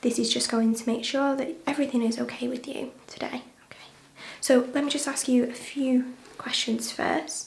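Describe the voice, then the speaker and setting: A soft-spoken woman's high-pitched voice, calm in tone and monotone in intonation, amid noticeable background noise. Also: moderate pace. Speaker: ASMR nurse roleplay artist. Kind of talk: ASMR roleplay as a nurse talking to a patient. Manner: soft-spoken, calm, reassuring.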